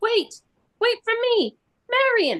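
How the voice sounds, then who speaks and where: A woman puts on a squeaky character voice at an extremely high pitch. Her pitch variation is ordinary. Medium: audio drama. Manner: blunt, tart.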